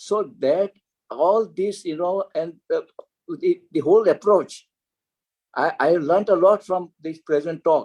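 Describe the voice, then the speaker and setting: The speech moves at a fairly slow pace with long, frequent pauses and ordinary pitch variation, in a dry, close sound with no echo. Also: man, high pitch for a man. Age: 80s+. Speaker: cardiologist. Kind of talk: panel discussion.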